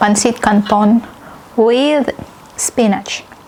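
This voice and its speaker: Against noticeable background noise, a woman talks very slowly at a fairly high pitch. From Philippines. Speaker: Filipina living in Norway. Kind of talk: casual talk to camera, cooking vlog. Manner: casual, conversational.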